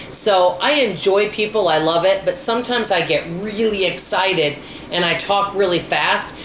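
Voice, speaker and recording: A woman's medium-pitched, animated voice with ordinary pitch variation, audible room echo and noticeable background noise. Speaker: frugal living vlogger. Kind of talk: casual vlog monologue. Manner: animated, hyper.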